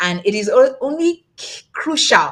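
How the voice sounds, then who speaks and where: A woman speaks in an animated tone with a somewhat breathy voice. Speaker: tax accountant and summit host. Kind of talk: webinar presentation. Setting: livestream.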